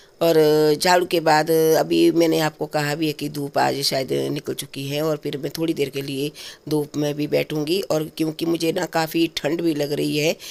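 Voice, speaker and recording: A woman's very deep, low-pitched voice in a monotone, flat intonation. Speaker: vlogger. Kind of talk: casual vlog. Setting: at home, bedroom.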